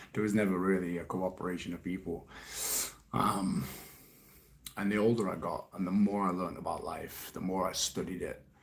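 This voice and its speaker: A man's very deep, low voice with a British accent, fairly quick pace and fairly even intonation, broken by long, frequent pauses. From UK. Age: 30s. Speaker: life coach. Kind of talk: live stream Q&A. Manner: casual, swearing-laden.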